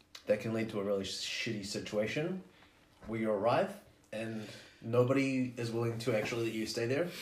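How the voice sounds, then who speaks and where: Speaking with a New Zealand accent, the voice moves at a fairly quick pace with ordinary pitch variation. Noticeable background noise and audible room echo are present. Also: man, medium pitch for a man. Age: 20s. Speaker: podcast guest. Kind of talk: casual chat.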